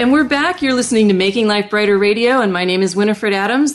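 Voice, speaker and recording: Against a quiet background, a woman with an unremarkable speaking voice talks at a fairly high pitch with lively intonation. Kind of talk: radio host patter, warm welcoming broadcast. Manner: warm, upbeat, fluent, encouraging.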